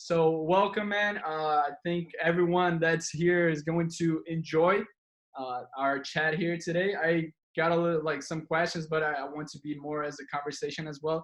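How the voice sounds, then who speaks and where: Fairly high-pitched male speech in a Brazilian accent, monotone and flat, at a moderate pace. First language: Portuguese. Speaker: podcast host. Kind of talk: podcast interview. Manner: halting.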